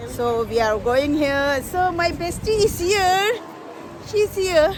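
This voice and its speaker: Over crowd noise in the background, a speaker with a Tibetan accent swings very widely in pitch. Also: woman. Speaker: vlogger. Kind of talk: casual vlog chat. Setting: outdoors, walking to Christmas market. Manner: halting, many fillers.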